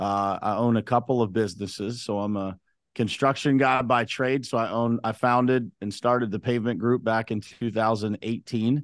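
Against a quiet background, a man with an American accent and a plain, everyday voice talks at a moderate pace and medium pitch, with fairly even intonation and hardly any pauses. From western Pennsylvania, Uniontown. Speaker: construction business owner. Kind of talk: casual interview.

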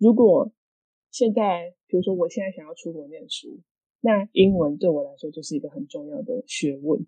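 A woman speaks at medium pitch and a moderate pace, her tone dark and mellow. Her pitch swings very wide, and her loudness shifts a lot. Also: dry, close sound with no echo. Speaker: podcast co-host. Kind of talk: casual chat.

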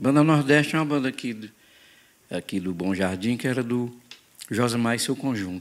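A man talks at a medium pitch. His voice shows ordinary pitch variation. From Ceará, Brazil (Quixadá). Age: 50s. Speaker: forró singer. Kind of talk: casual chat.

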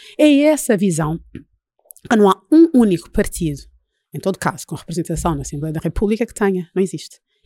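A woman's dark, mellow voice at medium pitch, fairly quick yet broken by long, frequent pauses, with very wide pitch swings and a dry, close sound free of echo. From Angola, Luanda. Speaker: party leader. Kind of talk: interview.

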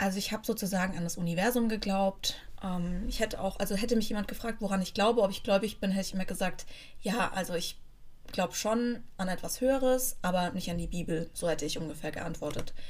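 Somewhat breathy speech comes at a very fast pace, with audible room echo. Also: woman, medium pitch for a woman, ordinary pitch variation. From Germany, near Frankfurt (Hesse). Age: 30s. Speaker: podcast host. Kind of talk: personal testimony. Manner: casual, with fillers and hesitations.

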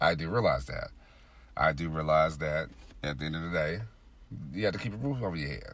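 A man speaks with a very deep, low pitch and vocal fry, at a fairly quick pace broken by long, frequent pauses. His pitch varies in an ordinary way, and audible room echo surrounds his voice. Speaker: podcast host. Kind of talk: solo monologue podcast. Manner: frequent filler words.

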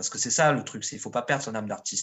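At a fairly quick pace, a man talks in a medium-pitched voice. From southern France, Marseille suburbs. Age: 40s. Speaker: street artist. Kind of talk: casual chat. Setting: internet call.

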